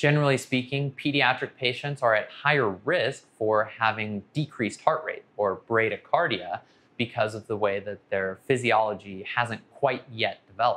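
A man's bright, sharp voice at a moderate pace, with ordinary pitch variation and hardly any pauses. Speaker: anesthesia physician educator. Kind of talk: educational explainer. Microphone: lapel.

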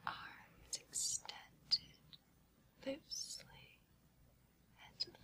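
A woman whispers in a soothing tone. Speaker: hypnotist. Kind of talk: hypnosis induction for sleep. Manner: whispered, slow, soothing. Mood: calm, soothing. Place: studio.

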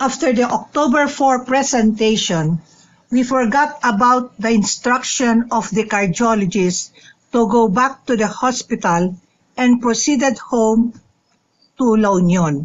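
A woman speaks slowly at a fairly high pitch. Her pitch varies in an ordinary way.

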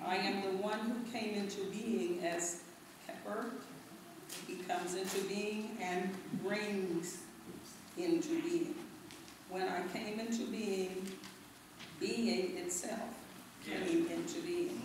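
A woman at a very slow pace with long, frequent pauses, amid strong room echo and noticeable background noise. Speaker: reader at a lecture. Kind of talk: reading a text aloud. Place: hall.

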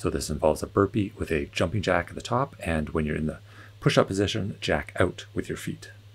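A man with a very deep, low pitch and a somewhat breathy, calm tone, with lively intonation at a fairly quick pace. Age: 40s. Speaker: fitness instructor. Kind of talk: guided home workout. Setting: home workout video. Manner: calm, encouraging, steady; clear cue-giving, countdowns. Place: hall.

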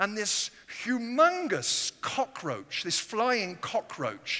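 A raised, projected voice with an English accent, bright and sharp in tone, swinging very widely in pitch at a very slow pace. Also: man, quiet background. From England. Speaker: guest preacher. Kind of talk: sermon. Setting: church. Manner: animated. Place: church. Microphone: headset.

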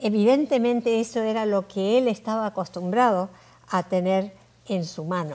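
Fairly high in pitch yet dark and mellow in tone, a woman speaks at a moderate pace with ordinary pitch variation. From Uruguay. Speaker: Bible languages scholar; interview guest. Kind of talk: interview. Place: studio. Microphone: lapel.

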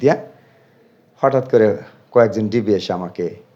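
Lively intonation marks this man's speech, which has a dark, mellow tone. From Bangladesh, Faridpur. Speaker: vlogger. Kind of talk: personal testimony.

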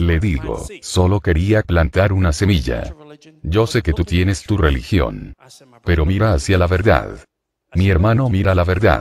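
A man's very deep, low voice with vocal fry and an intense, dramatic tone, lively intonation at a fairly slow pace, dry sound with no echo, and light background noise. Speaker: preacher. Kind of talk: fiery sermon with testimony, confronting the congregation. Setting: church, live preaching. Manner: intense, forceful, dramatic, animated storytelling. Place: church. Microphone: handheld.

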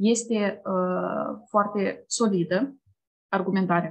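A woman speaks at medium pitch in a somewhat breathy voice. Her intonation is fairly even against a quiet background. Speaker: program coordinator. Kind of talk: online information session, presentation. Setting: video call. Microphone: webcam.

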